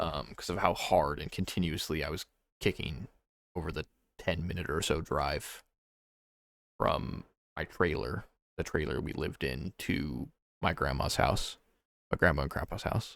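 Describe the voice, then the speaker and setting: A man talks with a very deep, low pitch and vocal fry. He leaves long, frequent pauses. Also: ordinary pitch variation, moderate pace. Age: 20s. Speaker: vlogger. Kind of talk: personal monologue about grief. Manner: halting, many fillers.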